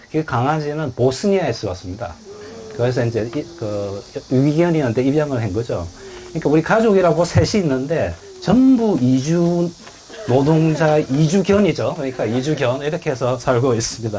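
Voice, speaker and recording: A man with a Gyeongsang accent speaks at a moderate pace and fairly high pitch. His intonation is lively, with noticeable background noise behind him. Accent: Gyeongsang dialect Korean. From South Korea, Busan (Gyeongsang). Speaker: author and international labour official. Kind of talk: book talk Q&A. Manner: conversational with many fillers.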